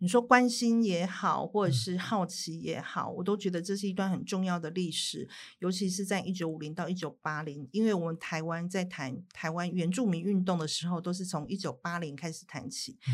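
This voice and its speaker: An unremarkable speaking voice moves at a moderate pace with hardly any pauses and ordinary pitch variation, on a very clean recording with a silent background. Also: woman, fairly low pitch for a woman. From Taiwan. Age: 50s. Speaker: writer and documentary director. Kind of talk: interview.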